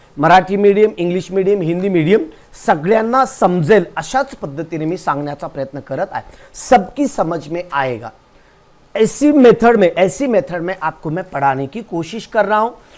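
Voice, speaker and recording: Someone with a non-native accent speaks with lively intonation. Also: man, high pitch for a man. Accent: non-native Hindi. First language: Marathi (speaking Hindi). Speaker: teacher. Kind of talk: lecture.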